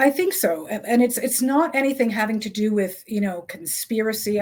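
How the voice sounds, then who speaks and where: A woman talks in a normal speaking voice at a fairly high pitch. Her intonation is lively and her pace fairly quick. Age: 60s. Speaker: author and health journalist. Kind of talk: interview.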